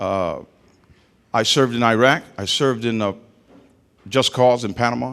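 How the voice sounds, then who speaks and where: A man with an American accent and medium pitch. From Trenton, New Jersey. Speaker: mayoral candidate, army veteran. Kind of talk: campaign speech at public forum. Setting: restaurant with live audience. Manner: hesitant, repeats words.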